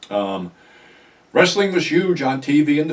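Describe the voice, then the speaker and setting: A man talks with an American accent. His pitch swings very widely. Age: 70s. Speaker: YouTuber, ex-wrestling personality. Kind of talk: casual monologue vlog. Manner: casual, conversational.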